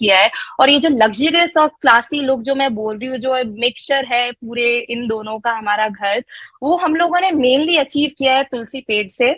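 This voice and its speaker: Recorded with a dry, close sound and no echo, a woman speaks at a high pitch with ordinary pitch variation. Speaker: network marketing distributor. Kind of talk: live online presentation. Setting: online live session with chat. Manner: hesitant, frequent fillers; code-switching Hindi-English.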